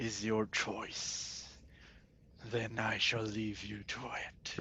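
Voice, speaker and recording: A man's put-on character voice, medium in pitch, monotone and flat, very slow, over clear background noise. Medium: actual play. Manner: sly, bargaining.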